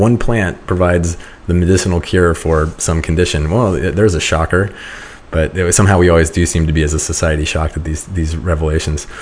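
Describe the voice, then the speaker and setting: A man talks fairly quickly in a very deep, low voice with fairly even intonation. Background noise is noticeable. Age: 40s. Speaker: podcast host. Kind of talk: interview.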